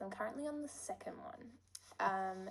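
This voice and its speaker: With pitch that swings very widely, a woman talks at a moderate pace. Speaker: lifestyle vlogger. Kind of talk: casual vlog chat.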